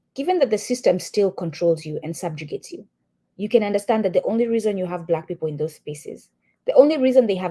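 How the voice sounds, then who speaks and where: Somewhat breathy and dark, mellow in tone, a woman speaks at a medium pitch. Her pace is fairly quick. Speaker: podcast co-host. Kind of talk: reading aloud with commentary.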